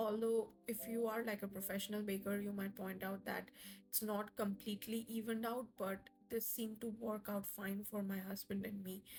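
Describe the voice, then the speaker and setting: Background music beneath a woman's medium-pitched voice. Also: moderate pace. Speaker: home cooking video creator. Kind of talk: voiceover tutorial. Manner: casual, with fillers.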